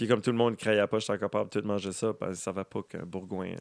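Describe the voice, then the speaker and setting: Fairly low in pitch, a man's voice comes through dry and close with no echo, in a very clean recording with a silent background. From Edmundston, New Brunswick (Acadian Madawaska region). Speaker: musician. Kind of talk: casual chat.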